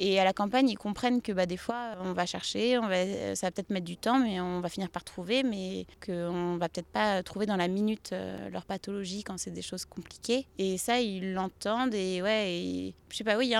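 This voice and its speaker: An ordinary speaking voice moves at a moderate pace with hardly any pauses and ordinary pitch variation, recorded very cleanly against a silent background. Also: woman. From western France, Pays de la Loire (Saint-Nazaire, Nantes). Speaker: family doctor. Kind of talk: casual interview on a farm tour. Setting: outdoors at her stables.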